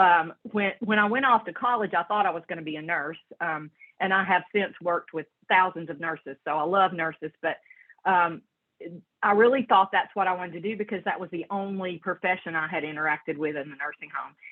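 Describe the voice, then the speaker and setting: Speaking at a fairly quick pace, this woman has a fairly low pitch and a strong Southern US accent. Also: ordinary pitch variation. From western North Carolina mountains, Brevard. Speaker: social worker in health insurance. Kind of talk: interview. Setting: video call.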